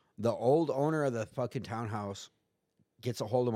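A man's normal speaking voice with an American accent, medium pitch and ordinary pitch variation, in a very clean recording with a silent background. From US West, San Diego area. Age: 40s. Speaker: person in addiction recovery, former prisoner. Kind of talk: casual chat.

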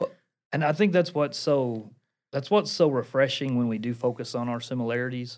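Speaking at a fairly quick pace, a man with an Appalachian accent has a medium pitch and ordinary pitch variation. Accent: Appalachian, noticeable. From Portland, Tennessee. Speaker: church executive pastor and ministry vice president. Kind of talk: podcast interview.

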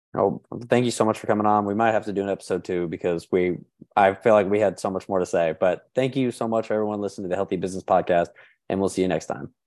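A quiet background behind a man's fairly low voice at a very fast pace, with fairly even intonation. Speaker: podcast host. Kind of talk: casual interview chat.

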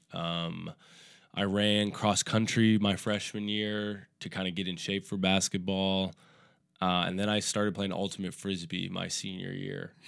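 A man's fairly low-pitched voice with an American accent, a plain, everyday voice, at a fairly slow pace with fairly even intonation, in a very clean recording over a silent background. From Minneapolis, Minnesota. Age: 30s. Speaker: stand-up comedian. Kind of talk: casual chat.

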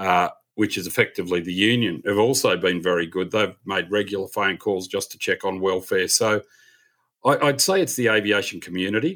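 A man with an Australian accent on a very clean recording against a silent background. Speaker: airline captain and aviation writer. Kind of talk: podcast interview.

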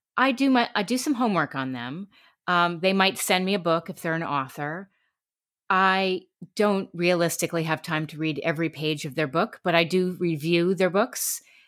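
A woman with a US Northeastern accent, fairly low-pitched with ordinary pitch variation, at a moderate pace on a very clean recording with a silent background. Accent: US Northeast. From New York City and Connecticut. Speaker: radio talk show host and voiceover artist. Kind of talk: interview. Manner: animated.

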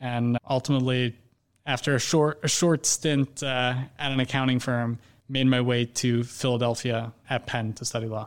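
A man talks in a Montreal accent with monotone, flat intonation. The recording is very clean, with a silent background. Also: medium pitch for a man, moderate pace. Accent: Canadian English, Montreal. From Montreal, Canada. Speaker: investment banker. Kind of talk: casual interview.

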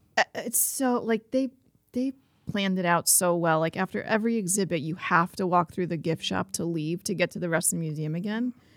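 In a dry, close recording with no echo, a woman with an unremarkable speaking voice talks at a fairly quick pace, her fairly low pitch showing ordinary variation. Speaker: market executive director. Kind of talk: casual chat. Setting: studio. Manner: cheerful, laughs often.

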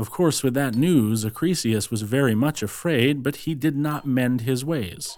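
A man with an unremarkable speaking voice, medium in pitch with ordinary pitch variation, at a fairly slow pace. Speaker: audiobook narrator. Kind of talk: scripted fairy-tale narration, read aloud from a book. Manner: storyteller's measured, flowing delivery, old-fashioned and formal.

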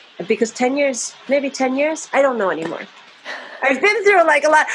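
A high-pitched woman's voice with an American accent, at a moderate pace, amid noticeable background noise. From US, New Jersey. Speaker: avant-garde vocalist and composer. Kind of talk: casual chat.

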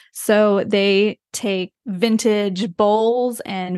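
With a dry, close sound and no echo, a woman with an American accent speaks at medium pitch with fairly even intonation, an unremarkable speaking voice. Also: quiet background. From US, rural West Virginia. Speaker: brand designer, design studio founder. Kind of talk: casual interview.

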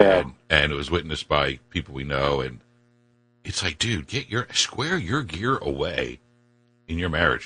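With an American accent, the voice has a bright, sharp tone and vocal fry, moving at a moderate pace with lively intonation. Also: man. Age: 50s. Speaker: talk radio host. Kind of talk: radio talk show chat. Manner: animated.

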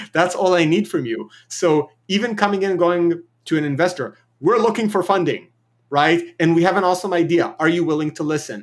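The man's pitch is high, with ordinary variation. He speaks at a fairly quick pace. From Israel. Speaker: filmmaker and startup founder. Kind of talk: podcast interview. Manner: direct, thoughtful.

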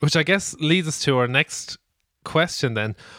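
With an Irish accent, a man speaks in a bright, sharp tone. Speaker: podcast host. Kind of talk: casual chat, news roundup.

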